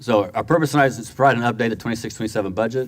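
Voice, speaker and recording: Racing at a very fast pace, a man speaks with ordinary pitch variation. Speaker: school district finance administrator. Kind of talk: board meeting presentation. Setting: school board meeting room.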